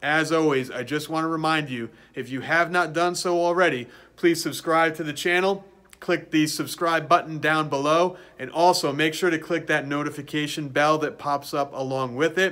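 A man's bright, sharp tone, fairly even intonation and moderate pace. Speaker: throwing coach. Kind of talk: casual vlog chat. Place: gym.

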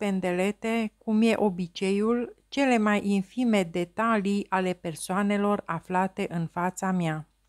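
A woman speaks at a very slow pace with fairly even intonation. The sound is dry and close with no echo, in a very clean recording with a silent background. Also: hardly any pauses. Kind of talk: audiobook reading aloud of literary prose. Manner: slow, measured, contemplative literary delivery; formal, even, introspective tone.

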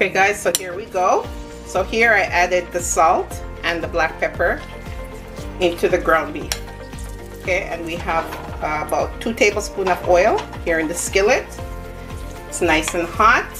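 Moderate pace with long, frequent pauses, over clear music in the background. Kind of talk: tutorial. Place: kitchen. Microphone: phone near.

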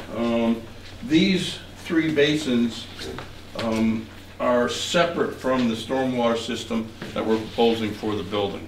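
Over light background noise and audible room echo, a man talks at a fairly slow pace with ordinary pitch variation. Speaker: land surveyor. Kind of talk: technical presentation. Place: meeting room. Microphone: camera far.

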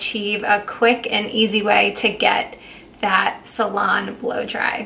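The woman's voice sits at a fairly high pitch, with monotone, flat intonation. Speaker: beauty content creator. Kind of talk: casual talk to camera. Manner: casual, relaxed, hesitant. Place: home room. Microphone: camera far.

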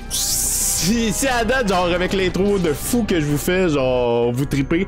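Over clear music in the background, a man speaks at a very slow pace with very wide pitch swings. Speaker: gaming streamer. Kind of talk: casual let's play commentary. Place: home room.

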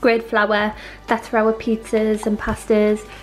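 Clear music plays in the background while the voice moves at a moderate pace. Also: woman. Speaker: home renovation vlogger. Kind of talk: casual vlog chat. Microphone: phone near.

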